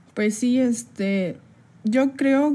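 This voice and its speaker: A woman talks in a dark, mellow tone that is somewhat breathy. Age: 20s. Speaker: podcast co-host. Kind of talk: casual chat.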